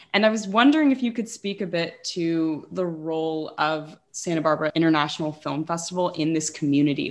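Speaking at a fairly quick pace with hardly any pauses, a woman uses a plain, everyday voice that is fairly low in pitch and has ordinary pitch variation. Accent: American. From Los Angeles. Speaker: student podcast host. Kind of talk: interview.

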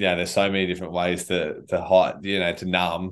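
A man talks at a moderate pace with an Australian accent. His pitch is very deep and low. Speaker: charity director and army veteran. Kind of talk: interview conversation.

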